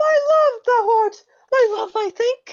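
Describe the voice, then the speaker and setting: Putting on a squeaky character voice, a woman speaks at a fairly slow pace in an extremely high pitch with ordinary pitch variation. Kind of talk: comic overacting. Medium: stage play. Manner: melodramatic, fumbling.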